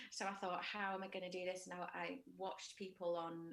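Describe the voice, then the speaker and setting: Speaking in a northern English accent, a woman keeps a moderate pace and a medium pitch with ordinary pitch variation. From northern England, Widnes, Cheshire (Liverpool parents). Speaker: musical theatre soprano. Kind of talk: interview. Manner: halting, many fillers.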